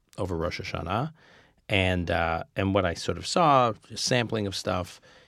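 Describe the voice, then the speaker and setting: A man talks at a fairly slow pace in a very deep, low pitch with ordinary pitch variation. The recording is very clean with a silent background. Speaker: podcast host interviewer. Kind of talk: interview. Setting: studio, in person.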